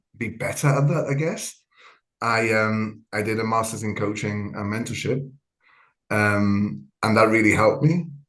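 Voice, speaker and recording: A man at medium pitch and a moderate pace, ordinary pitch variation, and audible room echo. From Gibraltar. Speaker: trauma coach. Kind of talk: podcast interview. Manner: hesitant, many fillers.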